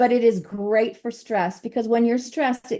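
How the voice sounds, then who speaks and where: A woman's animated voice at a very fast pace. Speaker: health coach. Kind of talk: presentation.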